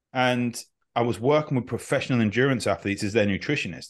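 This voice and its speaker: The speaker has an unremarkable speaking voice, moving at a fairly quick pace with ordinary pitch variation. The background is quiet. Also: man. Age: 30s. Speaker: functional medicine doctor and health coach. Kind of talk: interview.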